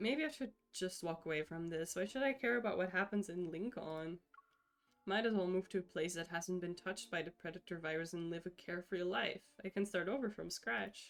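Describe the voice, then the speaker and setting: Speech runs at a fairly quick pace with ordinary pitch variation over music in the background. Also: woman, medium pitch for a woman. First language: Dutch. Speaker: streamer. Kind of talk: reading game text aloud with live commentary. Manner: casual, chatty.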